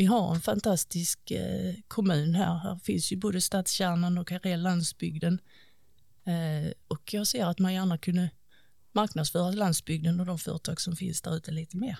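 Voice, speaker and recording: Somewhat breathy and dark, mellow in tone, a woman with a fairly low pitch speaks at a moderate pace with fairly even intonation. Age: 40s. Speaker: local politician. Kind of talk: interview.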